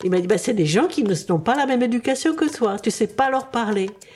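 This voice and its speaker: Very wide pitch swings at a moderate pace, over noticeable background noise. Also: woman. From Czechoslovakia (Prague), then Paris. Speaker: retired biologist. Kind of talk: interview, personal story. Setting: studio. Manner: halting, repeats words.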